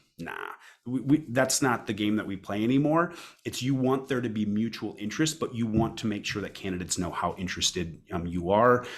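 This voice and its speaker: A man talks at a fairly quick pace in a medium pitch. His intonation is lively. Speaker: recruiter presenting a webinar. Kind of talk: webinar presentation. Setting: online webinar. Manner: fast.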